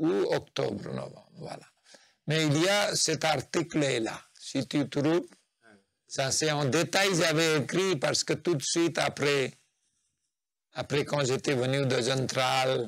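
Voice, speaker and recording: Very slowly, a man talks at a fairly high pitch with ordinary pitch variation and long, frequent pauses. The recording is very clean, with a silent background. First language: Nepali (speaking French). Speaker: spiritual practitioner, interviewee. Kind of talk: interview, life story. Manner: halting.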